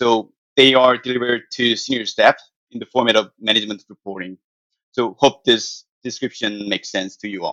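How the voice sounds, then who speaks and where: A man's medium-pitched voice at a moderate pace, bright and sharp in tone, with fairly even intonation, big swings in loudness, and a dry, close sound with no echo. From South Korea. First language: Korean. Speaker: financial analyst. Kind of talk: interview answers.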